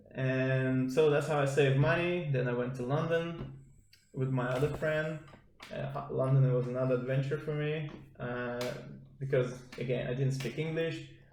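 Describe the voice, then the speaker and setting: The man speaks at a moderate pace and medium pitch, keeping his intonation fairly even. Noticeable background noise and audible room echo fill the recording. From Estonia. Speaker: podcast guest, judo athlete. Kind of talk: casual chat.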